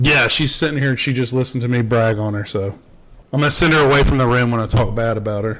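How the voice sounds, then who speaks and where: Noticeable noise fills the background while the words pour out very fast. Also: man, medium pitch for a man, fairly even intonation. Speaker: podcast guest, father. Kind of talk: casual chat.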